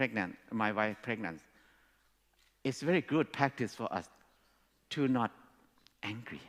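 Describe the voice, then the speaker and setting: A man speaks at a fairly slow pace with a Thai accent. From Thailand. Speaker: speaker. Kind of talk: talk to an audience. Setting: stage with audience.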